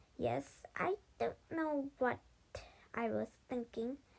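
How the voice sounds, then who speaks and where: Putting on a character voice, a woman speaks very slowly at a high pitch. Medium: read story. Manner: tearful, blubbering.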